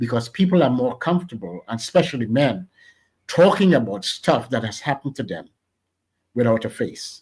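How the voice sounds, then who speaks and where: A man with a Trinidadian accent at a medium pitch, somewhat breathy, at a fairly quick pace with very wide pitch swings, in a very clean recording with a silent background. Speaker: radio station founder. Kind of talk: interview. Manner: animated.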